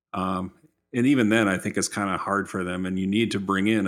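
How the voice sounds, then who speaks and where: Recorded very cleanly against a silent background, a man with an ordinary speaking voice talks at a fairly low pitch with fairly even intonation. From Minnesota. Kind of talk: casual chat.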